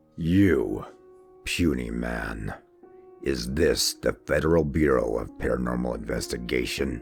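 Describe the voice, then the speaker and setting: Over faint background music, a man does a put-on character voice at a very deep, low pitch and a fairly slow pace. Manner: scary, menacing.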